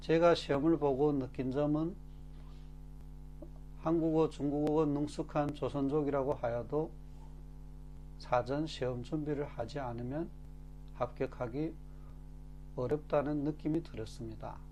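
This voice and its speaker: Over music in the background, a man speaks at a very slow pace with long, frequent pauses. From Korean-Chinese from China. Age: 40s. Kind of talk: casual talk to camera.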